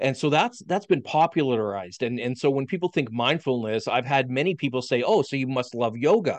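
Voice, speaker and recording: A man speaks at a fairly quick pace with a Canadian Prairie accent, his pitch medium and his intonation lively. He hardly pauses at all, and the background is quiet. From Saskatchewan, Canada. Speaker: physical therapist and professor. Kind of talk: casual interview.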